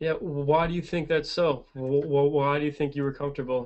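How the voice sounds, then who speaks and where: At a moderate pace, a man with a fairly high pitch talks in a monotone, flat intonation. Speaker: teacher who stutters, support group co-founder. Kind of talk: casual video chat. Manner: stutters.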